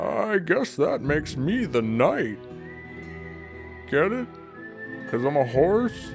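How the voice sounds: A man's put-on character voice, fairly high and fairly slow, over clear music in the background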